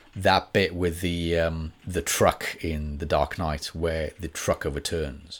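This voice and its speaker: Very slowly and in a flat monotone, a man speaks at a very deep, low pitch on a very clean recording with a silent background. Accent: Welsh. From Wales. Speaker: actor and voice artist. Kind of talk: casual chat. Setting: studio.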